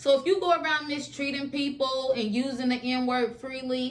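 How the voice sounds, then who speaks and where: In a Southern US accent, a woman with a high-pitched voice speaks at a fairly slow pace. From Alabama, USA. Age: adult. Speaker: YouTuber. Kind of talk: storytime talk to camera. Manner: casual.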